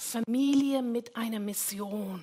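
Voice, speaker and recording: Speaking very slowly with a non-native accent, a woman has a bright, sharp tone and ordinary pitch variation. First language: not German (speaking German). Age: 60s. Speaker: pastor. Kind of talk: sermon. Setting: church.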